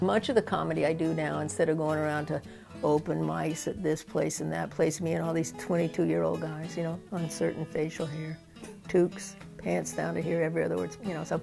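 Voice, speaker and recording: A woman speaks fairly quickly with music in the background. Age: 60s. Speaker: stand-up comedian, sociologist. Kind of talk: interview answer.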